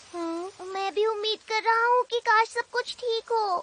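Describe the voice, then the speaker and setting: A cartoonish character voice pitched extremely high. It moves along at a moderate pace. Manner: warm, helpful.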